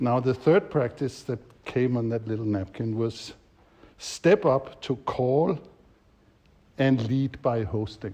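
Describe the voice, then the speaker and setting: Against a quiet background, a man speaks at a fairly slow pace with long, frequent pauses and big swings in loudness. His medium-pitched voice is somewhat breathy with a dark, mellow tone and lively intonation. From Denmark. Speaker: facilitation trainer. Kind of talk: workshop teaching.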